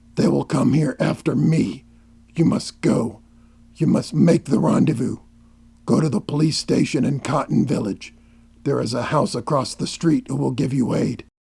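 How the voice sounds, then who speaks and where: A man does a put-on character voice that is raspy, growling and gruff, at a medium pitch and a moderate pace. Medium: audio drama. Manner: terse, grave, commanding.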